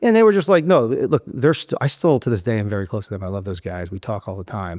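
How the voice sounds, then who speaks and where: A man with a New York accent and a medium pitch talks at a very fast pace with lively intonation and big swings in loudness, in a very clean recording with a silent background and a dry, close sound with no echo. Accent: New York City. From South Florida. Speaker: real estate investor. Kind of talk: podcast interview answer.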